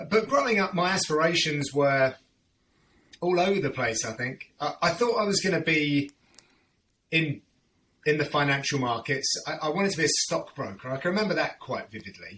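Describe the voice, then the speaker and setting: Long, frequent pauses break up a man's speech at a moderate pace. His voice is fairly high, bright and sharp, with lively intonation. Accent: London. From southern England, North London / Hertfordshire. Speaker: MMA play-by-play commentator. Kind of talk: casual interview chat.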